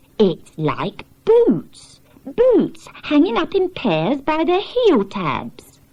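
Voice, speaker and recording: The speaker uses a put-on character voice. Delivery is very slow. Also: woman, high pitch for a woman. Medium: read story.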